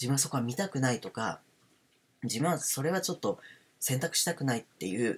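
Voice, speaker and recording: This man's voice is somewhat breathy, at a medium pitch, moving at a fairly quick pace. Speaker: parent, homeschool educator. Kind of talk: casual spoken talk on self-development.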